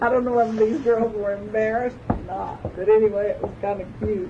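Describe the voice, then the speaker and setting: A woman with a Southern US accent and a fairly high-pitched voice, over noticeable background noise. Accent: Southern American. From Georgia. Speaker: legal secretary and office manager. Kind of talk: interview answer.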